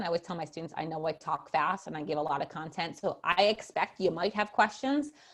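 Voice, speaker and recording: A woman is speaking. Her pace is fairly quick. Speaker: professor of special education. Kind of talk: webinar Q&A. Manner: fast; animated.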